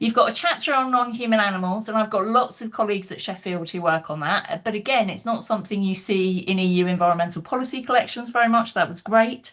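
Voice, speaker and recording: Speaking with a British accent, a woman moves at a fairly quick pace with ordinary pitch variation. The background is quiet. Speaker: academic panelist. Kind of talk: book launch panel talk. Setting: online video call. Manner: fast.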